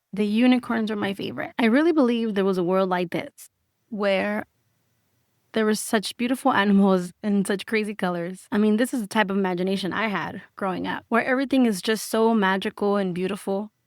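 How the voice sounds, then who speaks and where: This woman, with a Spanish accent, speaks at a medium pitch and a fairly quick pace with ordinary pitch variation, recorded very cleanly against a silent background with a dry, close sound and no echo. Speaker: podcast host. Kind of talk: personal storytelling podcast. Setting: home kitchen. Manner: animated.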